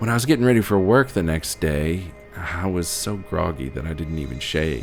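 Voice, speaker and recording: Music behind a man talking at a moderate pace. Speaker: horror narrator. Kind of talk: audio drama narration.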